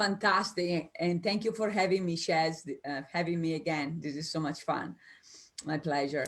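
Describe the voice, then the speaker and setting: A woman's fairly low voice with an Italian accent, at a moderate pace and with ordinary pitch variation. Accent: Italian, noticeable. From Italy. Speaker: business coach. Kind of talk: interview. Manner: animated, spontaneous.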